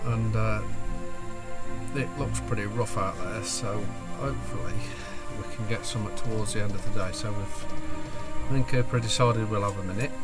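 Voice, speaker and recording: Loud music plays behind a man speaking at a moderate pace. He leaves long, frequent pauses. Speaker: photographer vlogger. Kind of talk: casual vlog chat. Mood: doubtful, mildly disappointed. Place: car. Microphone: phone near.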